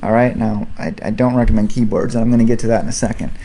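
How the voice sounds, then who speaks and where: Mumbling at a very fast pace, a man uses lively intonation and a dark, mellow tone, with audible room echo. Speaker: piano instruction video host. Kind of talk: tutorial. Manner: casual, hesitant with fillers.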